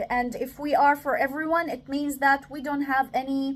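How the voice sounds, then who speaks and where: A woman with a high voice talks rather slowly. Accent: non-native. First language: not English. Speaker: self-development talker. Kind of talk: reflective monologue. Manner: halting, many fillers.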